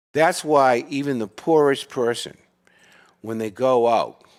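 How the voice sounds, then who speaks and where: Very slow, lively intonation in an American accent comes through on a very clean recording with a silent background. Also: man. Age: 70s. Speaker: podcast guest. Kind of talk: casual chat. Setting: studio with live audience. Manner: animated.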